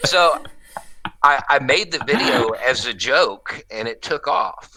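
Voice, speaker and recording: A bright, sharp tone marks a man speaking with an American accent. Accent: Southern US hillbilly accent, toned down. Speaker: YouTube commentator, former military contractor. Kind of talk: interview conversation. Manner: casual, halting with filler words.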